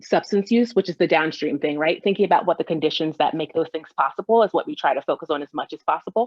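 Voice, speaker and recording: This woman speaks at a very fast pace in a fairly low pitch, with ordinary pitch variation. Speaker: coalition director. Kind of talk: interview.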